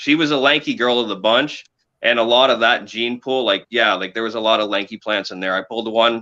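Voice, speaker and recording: Speaking at a fairly quick pace, a man with a Canadian accent keeps a medium pitch and a fairly even intonation. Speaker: cannabis breeder. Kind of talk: casual interview chat. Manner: halting, searching for words.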